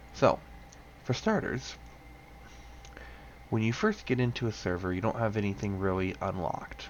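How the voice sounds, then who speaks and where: A quiet man at a moderate pace, fairly low in pitch, with long, frequent pauses. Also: ordinary pitch variation. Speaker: gaming tutorial creator. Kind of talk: tutorial. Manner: quiet, subdued because others sleeping.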